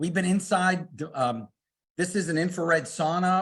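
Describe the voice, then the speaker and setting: A man speaks in a high voice with an animated tone against a quiet background. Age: 60s. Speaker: product company representative. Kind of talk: sales pitch.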